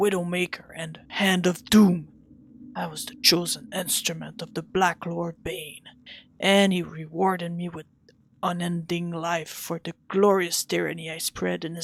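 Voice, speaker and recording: This is a put-on character voice, raspy and pitched in the middle range. The delivery moves at a fairly slow pace. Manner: boastful, menacing, grand.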